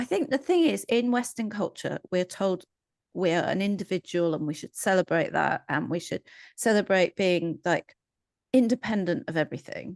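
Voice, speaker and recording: A woman with an English accent at a medium pitch and moderate pace, lively in intonation, in a dry, close sound with no echo and a quiet background. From England. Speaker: psychologist. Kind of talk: casual chat.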